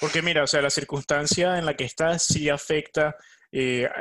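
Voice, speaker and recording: A man with a normal speaking voice, fairly high in pitch, at a moderate pace, in a dry, close sound with no echo. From Venezuela. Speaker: podcast co-host. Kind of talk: casual chat.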